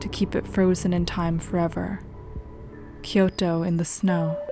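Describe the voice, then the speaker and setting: Over music in the background, a woman with an American accent speaks in a calm tone at a moderate pace. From United States. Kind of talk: reflective travel journal narration. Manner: calm, soft-spoken.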